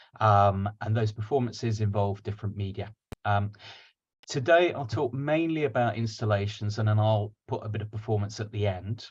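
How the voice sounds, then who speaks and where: A somewhat breathy man's voice at a fairly low pitch and moderate pace, with ordinary pitch variation and a quiet background. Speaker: digital dance artist. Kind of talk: lecture. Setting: video call.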